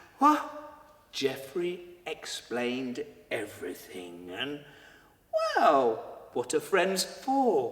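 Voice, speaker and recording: Speaking very slowly, a man leaves long pauses again and again while noticeable noise sits behind him. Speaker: storyteller. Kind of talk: children's story telling. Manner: theatrical, dramatic.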